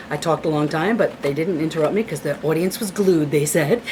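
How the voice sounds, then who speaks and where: Against noticeable background noise, a woman with an American accent speaks in an animated tone at a fairly low pitch. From Hudson Valley, New York. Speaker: retired teacher and author. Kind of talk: personal testimony interview. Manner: fast.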